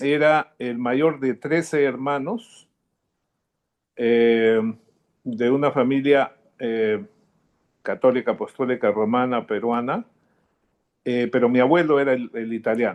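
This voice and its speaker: A man speaks at a very slow pace with long, frequent pauses, his medium pitch showing ordinary variation against a quiet background. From Peru, Lima. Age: 70s. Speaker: interviewee, descendant of Italian immigrants. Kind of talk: interview. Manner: halting, many fillers.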